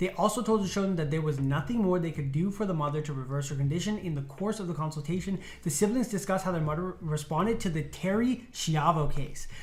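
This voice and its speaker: Someone talks at a very fast pace against noticeable background noise. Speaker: medical intern, video host. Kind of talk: casual panel discussion.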